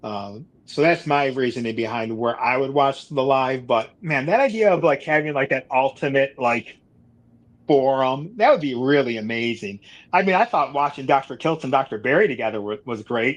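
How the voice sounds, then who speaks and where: A man with an American accent, an unremarkable speaking voice and a medium pitch talks at a moderate pace with ordinary pitch variation over a quiet background. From Buffalo, New York. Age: 40s. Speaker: carnivore diet youtuber. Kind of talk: casual chat.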